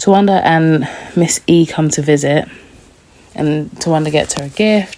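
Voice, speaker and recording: A woman with a British accent speaks at a very deep, low pitch and a moderate pace. Her intonation is fairly even, with long, frequent pauses. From London, England. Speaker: TV recap youtuber. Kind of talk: casual review chat. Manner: chatty, informal.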